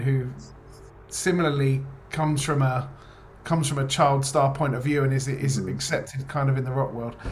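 The delivery is fairly quick, with pitch that shifts in an ordinary way. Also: man. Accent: English. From England. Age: 30s. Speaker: rock band lead singer. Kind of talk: interview.

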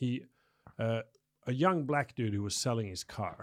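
Someone speaks at a fairly quick pace in a normal speaking voice. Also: man. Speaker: photographer and studio owner. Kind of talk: casual chat.

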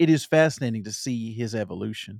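A man speaks with an American accent in an ordinary speaking voice, at a fairly quick pace. His intonation is lively, and the sound is dry and close with no echo. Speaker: podcast guest. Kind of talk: casual chat.

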